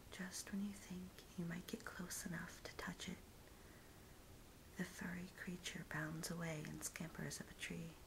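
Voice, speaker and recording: A woman whispering in an American accent, at a fairly slow pace, over noticeable background noise. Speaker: ASMR artist. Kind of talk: guided visualization. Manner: soft-spoken.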